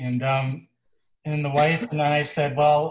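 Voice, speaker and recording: Over a quiet background, a man speaks at a fairly slow pace in a somewhat breathy voice. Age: 60s. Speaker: farmer and songwriter. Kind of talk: casual chat.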